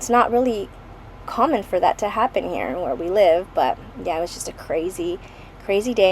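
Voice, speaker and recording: With noticeable background noise around her, a woman speaks at a fairly quick pace. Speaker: scrapbooking youtuber. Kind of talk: craft tutorial walkthrough. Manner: casual, many fillers.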